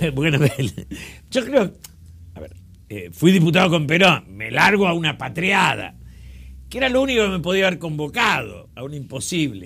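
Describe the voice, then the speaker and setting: A man's high-pitched voice with a bright, sharp tone, moderate pace, very wide pitch swings, long and frequent pauses, and big swings in loudness. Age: 70s. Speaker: politician. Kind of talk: interview. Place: studio. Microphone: lapel.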